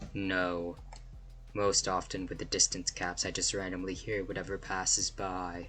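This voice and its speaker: A man puts on a character voice with a very deep, low pitch. Background noise is clearly heard. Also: moderate pace. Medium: game stream. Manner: sarcastic, aloof.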